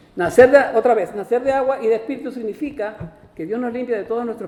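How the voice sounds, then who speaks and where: Noticeable background noise sits behind the voice. A man speaks at an extremely high pitch and a fairly quick pace. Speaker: pastor. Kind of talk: sermon. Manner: fast.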